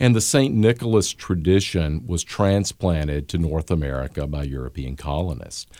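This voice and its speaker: A man with a Southern US accent and a very deep, low pitch talks at a moderate pace with lively intonation, a dark, mellow tone and hardly any pauses. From US Gulf South. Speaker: history professor.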